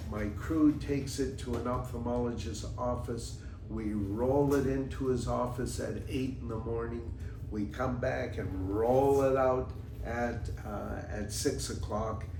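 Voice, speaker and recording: A man speaks at a fairly slow pace in a fairly low pitch, his voice swinging very widely in pitch. There is audible room echo and noticeable background noise. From Canada. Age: 80s+. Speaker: podcast host, former businessman. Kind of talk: casual monologue, personal storytelling. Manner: halting, many fillers.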